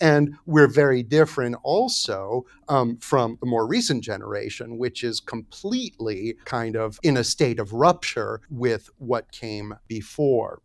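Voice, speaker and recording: A man talks at a fairly slow pace with a medium pitch and ordinary pitch variation. The recording is very clean with a silent background and a dry, close sound with no echo. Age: 50s. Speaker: philosopher and essayist. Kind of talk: interview. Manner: halting, many filler words.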